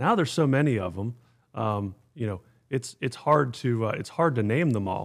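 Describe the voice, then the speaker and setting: A man with an American accent talks at a moderate pace in a normal speaking voice, his pitch medium and intonation lively. The recording is very clean, with a silent background. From Pittsburgh area, Pennsylvania. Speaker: youth golf organization executive. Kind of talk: casual interview.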